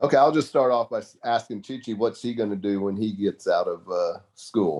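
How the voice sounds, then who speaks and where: Speaking with a Texan accent, a man keeps a moderate pace at a medium pitch with ordinary pitch variation. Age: 70s. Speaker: tennis supporter. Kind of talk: casual chat.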